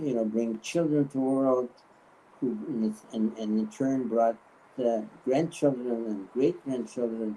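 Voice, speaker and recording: A man's dark, mellow tone unfolds at a fairly slow pace with ordinary pitch variation. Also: medium pitch for a man. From Poland. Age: 90s. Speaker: Holocaust survivor. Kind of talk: testimony. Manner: halting, many fillers and repetitions.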